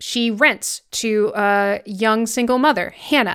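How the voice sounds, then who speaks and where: Captured in a very clean recording with a silent background, a woman speaks at a fairly high pitch. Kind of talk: casual podcast chat. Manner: gets faster and higher when excited.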